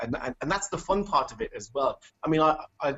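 This man has a normal speaking voice with ordinary pitch variation. He speaks at a moderate pace. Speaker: storyteller. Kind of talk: casual interview chat.

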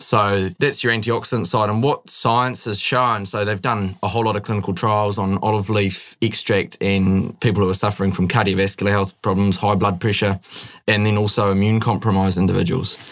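A man's fairly low, monotone, flat voice with a New Zealand accent, at a fairly quick pace with hardly any pauses and very even loudness, on a very clean recording with a silent background. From New Zealand, Northland (born in the Netherlands). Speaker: young entrepreneur. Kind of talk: interview.

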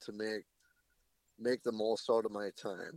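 A man talks with an Upper Midwest accent, recorded with a dry, close sound and no echo. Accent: Upper Midwest American. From Wisconsin. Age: 30s. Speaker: public land deer hunter. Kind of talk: casual interview chat.

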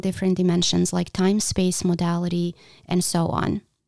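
With a non-native accent, a woman speaks at a moderate pace and medium pitch in a dark, mellow tone, the sound dry and close with no echo. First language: not English. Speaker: podcast host and visual artist. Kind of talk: solo podcast monologue.

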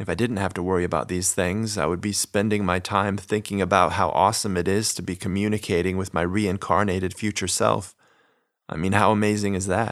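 On a very clean recording with a silent background, a man with an ordinary speaking voice and fairly low pitch talks at a moderate pace with fairly even intonation. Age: 30s. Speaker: podcast host and narrator. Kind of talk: scripted narration.

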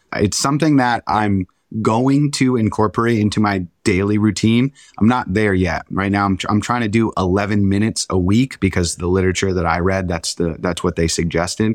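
A man with a normal speaking voice, fairly low in pitch, at a fairly quick pace with ordinary pitch variation, in a dry, close sound with no echo. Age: 30s. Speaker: meditation and breathwork instructor. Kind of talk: casual chat.

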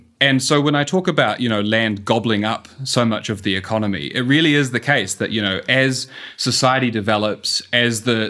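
At a fairly quick pace, the speaker has a bright, sharp tone and a New Zealand accent. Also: man. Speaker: urban economist. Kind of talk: interview.

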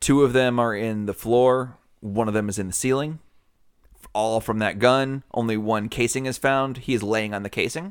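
In a very clean recording with a silent background, a man talks at a moderate pace with a medium pitch. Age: 40s. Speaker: podcast co-host. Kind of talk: casual chat. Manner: loud and enthusiastic.

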